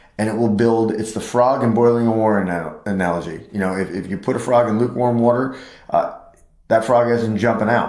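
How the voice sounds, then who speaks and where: Noticeable background noise and audible room echo around a very fast pace of talking. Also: man. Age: 50s. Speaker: chiropractor. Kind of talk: health talk podcast.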